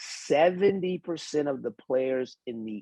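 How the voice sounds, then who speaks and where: A man speaks in an animated tone with lively intonation. His pace is fairly slow. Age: 60s. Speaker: podcast panelist. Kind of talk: heated debate.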